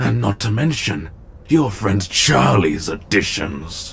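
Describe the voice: Putting on a character voice, a man speaks at a slow pace in a fairly low pitch with big pitch swings, a fairly bright tone and vocal fry.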